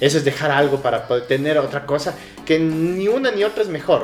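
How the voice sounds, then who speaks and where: A man with a Quito accent speaks at a fairly quick pace with ordinary pitch variation. Background noise is noticeable. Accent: Ecuadorian highland Spanish (Quito). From Ecuador, southern Quito. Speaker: small business owner. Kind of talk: casual interview chat. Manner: halting, repeats words.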